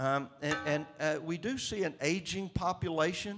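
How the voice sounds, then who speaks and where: This man speaks with a Southern US accent. His pitch is fairly high. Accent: Southern US drawl. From Mississippi, US. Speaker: state governor. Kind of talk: interview answer. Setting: conference stage.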